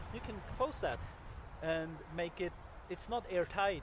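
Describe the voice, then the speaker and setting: A man talks at a fairly slow pace in a dry, echo-free recording over loud background noise. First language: not English. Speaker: survival instructor. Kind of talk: outdoor tutorial. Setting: outdoors in snow. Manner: halting, many fillers. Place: forest.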